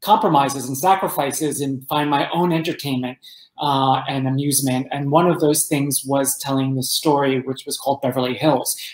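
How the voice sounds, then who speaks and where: Audible room echo surrounds a man with an American accent whose intonation stays fairly even. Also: quiet background. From New Jersey, Roselle Park; New Jersey. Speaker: entertainment journalist and author; guest. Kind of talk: interview. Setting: podcast. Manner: halting, many fillers. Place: home room.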